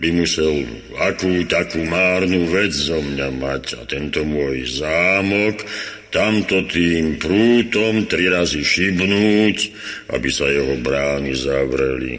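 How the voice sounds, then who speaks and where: Using a put-on character voice, a man with a very deep, low pitch speaks amid clear echo and light background noise. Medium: old radio play. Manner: grumbling, drowsy.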